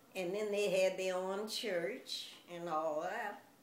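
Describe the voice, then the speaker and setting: The speech moves at a very slow pace. There is noticeable background noise and audible room echo. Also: woman. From US South, Louisiana. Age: 90s. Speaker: grandmother being interviewed. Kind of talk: interview.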